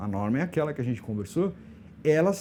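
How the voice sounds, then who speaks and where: Lively intonation colors this man's dark, mellow tone. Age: 60s. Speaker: LGBT elder rights activist. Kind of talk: podcast interview.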